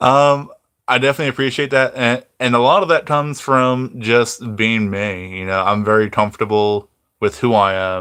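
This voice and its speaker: A man at medium pitch with a bright, sharp tone, moderate pace, ordinary pitch variation, and a quiet background. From New York (New Rochelle). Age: 30s. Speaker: YouTuber. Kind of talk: casual chat. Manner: halting.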